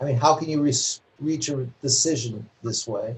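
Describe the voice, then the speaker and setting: A dark, mellow tone, somewhat breathy, with fairly even intonation and an American accent. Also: man. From New York City. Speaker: novelist. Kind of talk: lecture Q&A.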